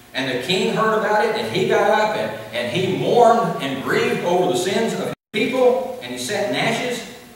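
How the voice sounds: A high-pitched man's voice with big pitch swings and strong room echo. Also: moderate pace.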